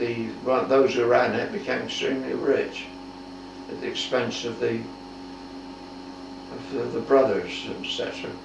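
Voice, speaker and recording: A man speaks with long, frequent pauses over noticeable background noise. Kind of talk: oral history interview answer. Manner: slow, hesitant.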